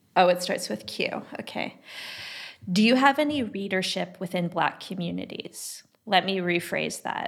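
A woman with vocal fry speaks at a fairly slow pace, her medium pitch making very wide swings. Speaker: podcast co-host, art critic. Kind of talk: casual conversation and interview.

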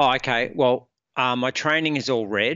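A man with an Australian accent, at a fairly slow pace and with ordinary pitch variation. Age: 50s. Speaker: productivity coach, former military. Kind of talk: casual interview. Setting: podcast recording.

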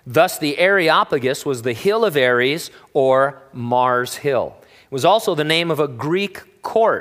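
Lively in intonation, a man speaks at a fairly high pitch in an unremarkable speaking voice with an American accent. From Southern California. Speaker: pastor. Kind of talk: sermon.

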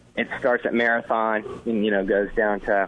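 A man talks at medium pitch while noticeable background noise runs underneath. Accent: American. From Florida Keys, US. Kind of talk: casual radio interview.

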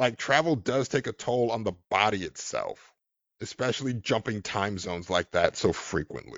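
In a normal speaking voice, a man talks at a fairly low pitch. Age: 30s. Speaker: podcast guest. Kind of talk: casual chat.

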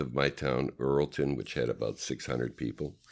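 Very deep, low male voice with vocal fry and a Canadian accent, on a very clean recording with a silent background. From Canada, Vancouver. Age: 60s. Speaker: sports medicine chiropractor. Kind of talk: interview.

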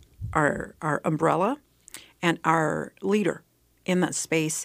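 A woman with an American accent, fairly low in pitch with vocal fry, at a fairly slow pace and ordinary pitch variation, in a very clean recording with a silent background. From Texas Panhandle. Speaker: nonprofit executive director. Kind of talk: interview.

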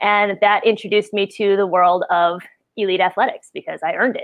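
A woman with an American accent talks at a very fast pace using fairly even intonation. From US Midwest, Wisconsin. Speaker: podcast host, health practitioner. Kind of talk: casual chat.

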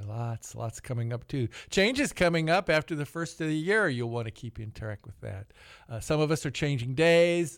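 At a moderate pace, a man uses a normal speaking voice with ordinary pitch variation in a very clean recording with a silent background. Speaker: radio host. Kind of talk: radio interview. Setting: studio.

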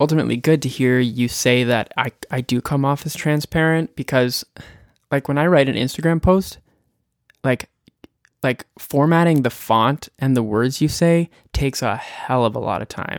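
In a normal speaking voice, a man talks at a moderate pace with a Canadian accent and ordinary pitch variation, in a very clean recording with a silent background. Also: dry, close sound with no echo. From Prince Edward Island, Canada. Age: 30s. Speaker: singer-songwriter. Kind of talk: podcast interview.

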